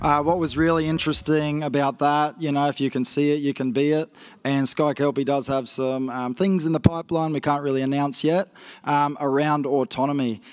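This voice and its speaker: A man with a rural Queensland accent, fairly high in pitch, fairly quick and fairly even in intonation. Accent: Australian, rural Queensland. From northwest Queensland, Australia. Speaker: grazier and agtech entrepreneur; conference presenter. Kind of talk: conference presentation. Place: stage. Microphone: handheld.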